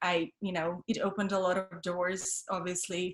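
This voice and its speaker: A woman with a Russian accent, medium-pitched and monotone, at a moderate pace. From Russia (Siberia), then Paris from 15. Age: 30s. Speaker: model, actress and comedian. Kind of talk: interview. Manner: halting, many fillers.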